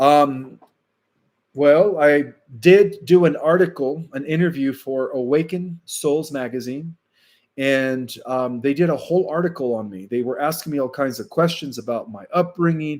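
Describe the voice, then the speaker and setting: A man talks at a moderate pace with big swings in loudness. His pitch is fairly high, with ordinary pitch variation. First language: Spanish. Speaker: spiritual channel host. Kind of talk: live stream Q&A with chat. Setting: live stream. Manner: casual, hesitant with fillers.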